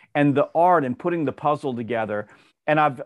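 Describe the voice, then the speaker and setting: A man with a Southern US accent, fairly high-pitched, at a fairly quick pace with ordinary pitch variation, in a dry, close sound with no echo and a quiet background. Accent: Southern US (Georgia). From US South, Georgia. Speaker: sales author and trainer. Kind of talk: interview.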